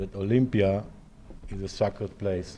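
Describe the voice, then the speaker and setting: With a dark, mellow tone, a man speaks fairly slowly in a monotone, flat intonation. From Israel, Tel Aviv. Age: 60s. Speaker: Olympic athlete and attack survivor. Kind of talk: lecture.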